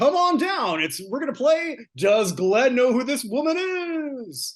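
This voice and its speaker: In a put-on character voice, the speaker talks at a high pitch with very wide pitch swings and a fairly slow pace. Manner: upbeat, showy.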